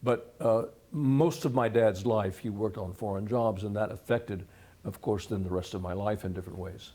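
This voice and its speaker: A man speaks with an American accent at a moderate pace, with ordinary pitch variation. His tone is dark, mellow and somewhat breathy. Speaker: retired history professor. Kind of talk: interview. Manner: halting.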